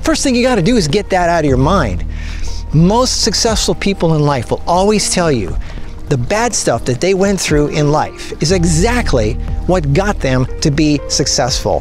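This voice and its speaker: A man speaks at a fairly slow pace with a dry sound and no echo. Clear music plays in the background. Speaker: motivational vlogger. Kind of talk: motivational talk to camera. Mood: earnest, persuasive. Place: beach. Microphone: phone near.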